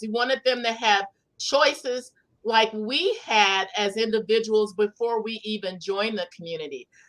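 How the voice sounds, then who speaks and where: A woman with a normal speaking voice, a fairly high pitch, lively intonation and a fairly slow pace. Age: 60s. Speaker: author and former member of a religious community. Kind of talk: interview conversation.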